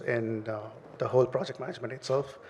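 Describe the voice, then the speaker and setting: A man talks with a strong Indian accent. Noticeable background noise runs behind him. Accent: thick Indian. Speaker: startup CEO. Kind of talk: panel discussion. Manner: halting, many fillers.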